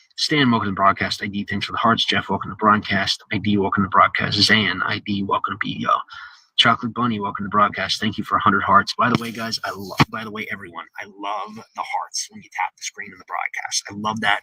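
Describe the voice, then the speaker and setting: A man talks at a very fast pace with hardly any pauses. The sound is dry and close, with no echo. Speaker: live streamer. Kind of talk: live stream chat. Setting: live stream. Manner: halting, stumbling over words.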